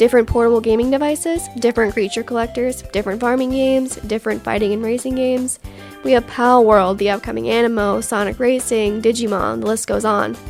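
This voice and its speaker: The speaker talks at a very fast pace. Music plays in the background. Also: woman, fairly high pitch for a woman. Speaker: gaming commentator. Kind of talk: casual opinion commentary.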